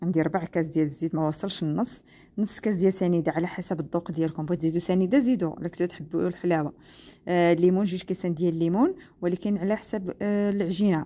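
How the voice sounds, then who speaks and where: Talking at a very fast pace, a woman uses a fairly low voice with a dark, mellow tone and ordinary pitch variation. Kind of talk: tutorial. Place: kitchen.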